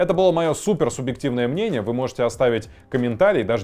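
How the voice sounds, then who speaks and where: Lively intonation marks a man talking at a very fast pace. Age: 30s. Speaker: exam prep tutor. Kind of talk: educational vlog talk. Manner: casual, conversational. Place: studio. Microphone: lapel.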